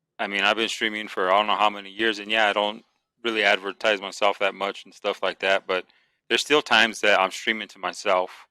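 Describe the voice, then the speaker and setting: A man with a fairly low pitch talks at a very fast pace, his tone bright and sharp, with big swings in loudness. The sound is dry and close with no echo, on a very clean recording with a silent background. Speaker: gamer and streamer. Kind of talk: casual chat. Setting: podcast. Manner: calm, not animated.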